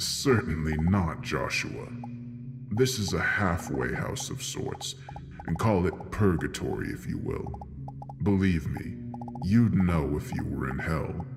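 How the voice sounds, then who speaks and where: Loud background noise fills the clip. Over it, a man does a put-on character voice with a menacing tone. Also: fairly slow pace. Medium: read story. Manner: sly, menacing.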